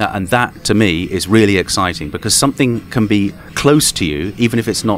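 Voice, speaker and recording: In an English accent, a man talks with a fairly low pitch. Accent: English accent, much praised. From southern and eastern England. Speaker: tech company co-founder and CTO. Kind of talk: interview. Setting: conference interview room. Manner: halting, many repeated words.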